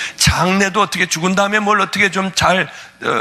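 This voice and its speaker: A man's high-pitched, animated voice at a fairly quick pace, with music in the background. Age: 60s. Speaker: pastor. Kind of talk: sermon.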